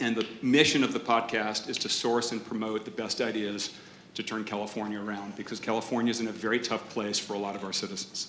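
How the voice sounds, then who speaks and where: With an American accent, a man talks very fast at a fairly low pitch in a monotone, flat delivery over noticeable background noise. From Massachusetts. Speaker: podcast host and entrepreneur. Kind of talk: panel debate. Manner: loud.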